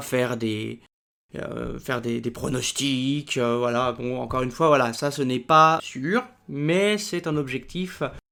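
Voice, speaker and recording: With ordinary pitch variation, this man's voice stays at a medium pitch. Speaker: book YouTuber and student. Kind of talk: casual improvised vlog. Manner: hesitant, many fillers.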